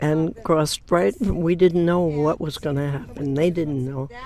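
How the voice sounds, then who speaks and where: Very deep and low in pitch, a woman is speaking. She talks at a fairly slow pace. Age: 80s+. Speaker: elder water protector activist. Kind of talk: interview testimony. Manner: halting.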